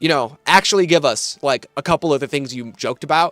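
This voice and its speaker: In an American accent, a man with an unremarkable speaking voice talks at a fairly quick pace with fairly even intonation, the sound dry and close with no echo. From US Midwest, Michigan. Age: 20s. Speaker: gaming streamer and controller reviewer. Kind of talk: casual live stream chat. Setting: live stream.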